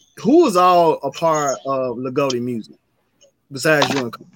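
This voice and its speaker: A man with a Memphis accent, fairly high-pitched, with ordinary pitch variation and a fairly slow pace. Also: long, frequent pauses, big swings in loudness. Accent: Memphis Southern US. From US South, Memphis. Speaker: podcast host. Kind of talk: casual interview.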